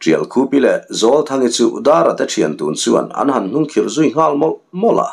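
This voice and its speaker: The man's delivery moves at a fairly slow pace. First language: Mizo (speaking Vietnamese). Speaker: story narrator. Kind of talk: reading aloud.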